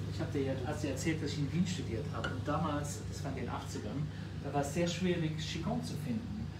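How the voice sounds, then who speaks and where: A man delivers his words fairly quickly while loud noise runs behind him. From Luxembourg. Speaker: member of European Parliament. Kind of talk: casual chat while cooking. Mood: relaxed, friendly. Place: kitchen. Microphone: phone near.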